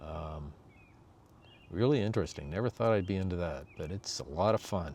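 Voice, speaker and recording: A man's very deep, low voice at a moderate pace, relaxed in tone with lively intonation. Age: 60s. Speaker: vlogger. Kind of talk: casual monologue.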